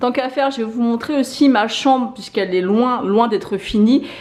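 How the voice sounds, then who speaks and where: A woman talks at a moderate pace with a fairly high pitch and ordinary pitch variation. Background noise is noticeable. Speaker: lifestyle vlogger. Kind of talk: vlog home tour. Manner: casual, hesitant with many fillers.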